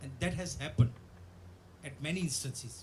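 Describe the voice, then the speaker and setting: A man speaks at a fairly slow pace with a non-native accent. Audible room echo surrounds his voice. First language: Bhantu. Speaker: theatre director, guest of honor lecturer. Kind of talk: formal address / lecture.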